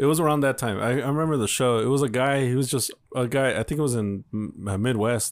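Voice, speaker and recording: In a very clean recording with a silent background, a man talks at a very fast pace in a playful tone with ordinary pitch variation. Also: medium pitch for a man. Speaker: podcast co-host. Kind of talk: casual banter, comedy chat. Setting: studio booth. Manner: joking, playful.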